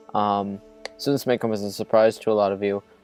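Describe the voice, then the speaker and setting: With music in the background, a man speaks with a fairly low pitch. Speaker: gaming commentator. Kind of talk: casual gameplay commentary.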